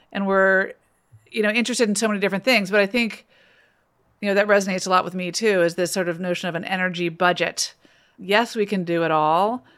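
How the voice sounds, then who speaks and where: Here is a woman with a normal speaking voice at medium pitch. She talks at a fairly quick pace with fairly even intonation. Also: very clean recording, silent background. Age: 50s. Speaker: primary care doctor and podcast host. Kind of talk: interview.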